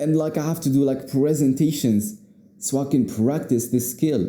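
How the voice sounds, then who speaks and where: A man with a non-native accent talks at a moderate pace and medium pitch, his tone dark and mellow. His pitch variation is ordinary, and audible room echo surrounds him. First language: not English. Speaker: YouTuber, speaking coach. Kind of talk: unscripted talk to camera. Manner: casual, repetitive, filler-heavy.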